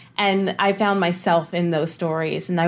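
An ordinary speaking voice on a very clean recording with a silent background. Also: woman. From US South, East Texas. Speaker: playwright and drama professor. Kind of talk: interview conversation.

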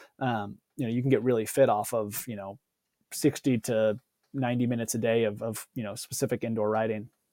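At a fairly quick pace, a man with a dark, mellow tone and medium pitch speaks in a monotone, flat way, with a dry, close sound and no echo. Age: 30s. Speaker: former pro cyclist, gravel racer. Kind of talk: casual interview.

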